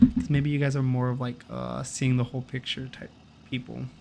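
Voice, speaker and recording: A man speaks softly at a moderate pace, somewhat breathy, with a medium pitch. His tone is calm and his intonation fairly even. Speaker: gaming streamer. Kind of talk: casual chat. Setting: live stream. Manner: soft-spoken.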